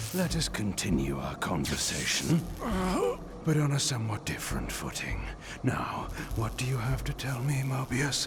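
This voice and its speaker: A man speaks at a moderate pace in a put-on character voice over loud background noise. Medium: game stream. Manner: imperious, deliberate.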